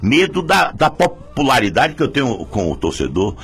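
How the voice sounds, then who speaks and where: Background noise is noticeable throughout. A man does the talking. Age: 60s. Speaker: football club leader, election candidate. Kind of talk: press statement. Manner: animated.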